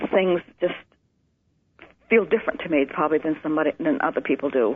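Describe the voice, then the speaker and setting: With an American accent, a woman with a very deep, low pitch talks at a very fast pace with lively intonation. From Maine, US. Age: 60s. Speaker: nurse. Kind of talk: interview testimony.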